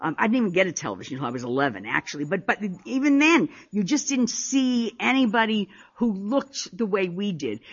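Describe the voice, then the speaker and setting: Her pitch swings very widely, and the woman's voice has a somewhat breathy quality. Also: medium pitch for a woman, fairly quick pace. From Paterson, New Jersey (Italian-American family). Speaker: poet. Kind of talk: poetry reading. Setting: stage with audience.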